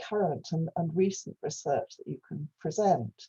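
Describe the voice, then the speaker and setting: A somewhat breathy woman's voice with a dark, mellow tone, dry and close with no echo. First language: Welsh. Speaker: professor. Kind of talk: lecture. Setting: video call. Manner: halting.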